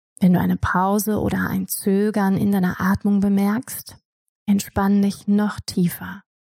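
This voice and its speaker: Somewhat breathy and fairly slow, a woman speaks at medium pitch in a dark, mellow, soothing tone with monotone, flat intonation. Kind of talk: guided meditation. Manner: slow, soft-spoken, soothing.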